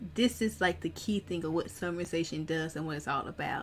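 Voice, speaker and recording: This woman speaks at a moderate pace with a very deep, low pitch and some vocal fry. Her pitch varies in an ordinary way. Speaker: pharmacist exam coach. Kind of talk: tutorial.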